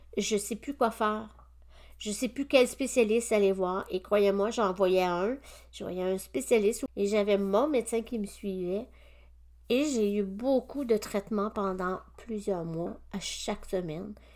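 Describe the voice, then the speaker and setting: Recorded very cleanly against a silent background, a woman speaks at a medium pitch and a fairly slow pace with ordinary pitch variation. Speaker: naturopath and podcast host. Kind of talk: personal testimony monologue. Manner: hesitant, with frequent fillers.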